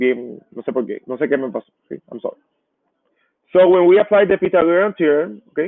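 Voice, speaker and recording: The man's pitch is high and his intonation lively. He keeps a moderate pace. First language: Spanish. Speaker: math teacher. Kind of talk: lecture. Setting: live online class.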